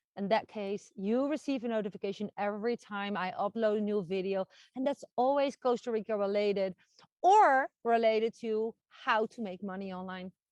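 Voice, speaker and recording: With a Dutch accent, a woman talks at a fairly high pitch with ordinary pitch variation, recorded in a dry, close sound with no echo. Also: quiet background. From Netherlands. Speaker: online marketing coach and vlogger. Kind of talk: vlog monologue. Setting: outdoors with dog.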